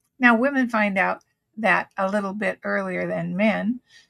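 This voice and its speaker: Somewhat breathy, a woman's voice moves along at a fairly slow pace. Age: 70s. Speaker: full-time RVer. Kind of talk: reflective talk to camera.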